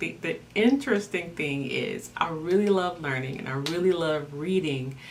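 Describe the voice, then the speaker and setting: Audible room echo and noticeable background noise surround a woman speaking. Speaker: life coach. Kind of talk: personal testimony talk.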